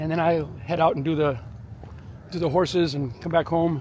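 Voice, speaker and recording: A man with a fairly high pitch speaks at a moderate pace and with fairly even intonation. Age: 60s. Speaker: martial arts instructor and fitness vlogger. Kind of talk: casual vlog narration. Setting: outdoors on a walk, then at home dojo. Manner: casual with frequent fillers and repeats.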